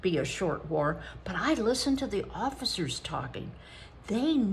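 Natural voice, read aloud

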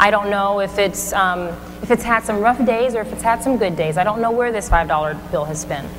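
A woman's energetic tone at a fairly quick pace, with ordinary pitch variation and noticeable background noise. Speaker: motivational speaker. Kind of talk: motivational keynote speech. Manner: energetic, engaging. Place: stage.

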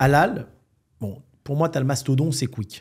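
Over a quiet background, a man talks at a moderate pace in a somewhat breathy voice. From France, Algerian heritage. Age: 40s. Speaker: entrepreneur; podcast guest. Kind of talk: casual interview. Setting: Marrakech. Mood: calm, assured. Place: studio. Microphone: studio mic.

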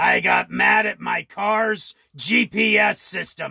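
The speaker uses a put-on character voice that sounds raspy. The pace is fairly slow. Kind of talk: comedy sketch. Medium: puppet.

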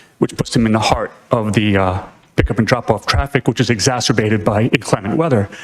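A man with an American accent talks with ordinary pitch variation over noticeable background noise. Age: 60s. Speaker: retired police officer, public commenter. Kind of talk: public comment at a town meeting. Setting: town planning board meeting.

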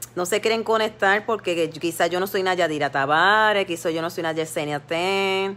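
At a fairly slow pace, a woman talks at a medium pitch with ordinary pitch variation. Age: 50s. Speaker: lay preacher on social media live. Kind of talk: devotional exhortation livestream. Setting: Facebook live stream. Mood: earnest, somewhat aggrieved. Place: home room. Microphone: phone near.

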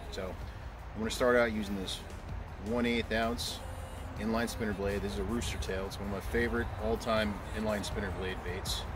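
Music plays behind a man speaking at a moderate pace and fairly low pitch with ordinary pitch variation. The sound is dry, with no echo. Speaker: fishing vlogger. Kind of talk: casual vlog chat and tutorial. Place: waterside.

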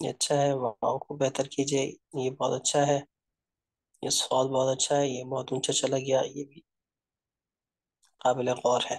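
The delivery is fairly slow, with long, frequent pauses over a quiet background. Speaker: calligraphy teacher. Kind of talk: tutorial feedback. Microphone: video call.

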